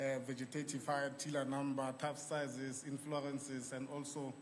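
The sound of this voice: A man speaks at medium pitch and a moderate pace with little pitch movement. The room echo is audible.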